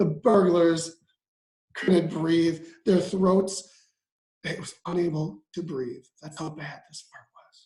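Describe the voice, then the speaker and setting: Delivered at a very slow pace, this put-on character voice sounds raspy and sits at a middle pitch. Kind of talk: bedtime story. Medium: read story. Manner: casual, chatty asides.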